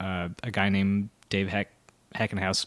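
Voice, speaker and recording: The recording is very clean and the background silent. A man talks in an American accent. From Southern California, Santa Barbara. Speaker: music licensing professional and touring musician. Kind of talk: casual interview.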